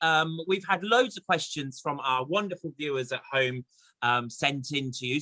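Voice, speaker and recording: With a plain, everyday voice, a man talks at a moderate pace with lively intonation in a dry, close sound with no echo. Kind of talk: casual interview host talk.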